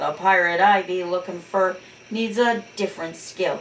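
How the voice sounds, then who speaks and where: A woman's growling, put-on character voice at a medium pitch and moderate pace. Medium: read story. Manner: growling, pirate-talk.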